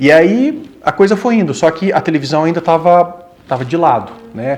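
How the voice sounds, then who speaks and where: A high-pitched man at a moderate pace with lively intonation, noticeable background noise behind him. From southern Brazil, Rio Grande do Sul (Passo Fundo). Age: 40s. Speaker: actor. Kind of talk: interview.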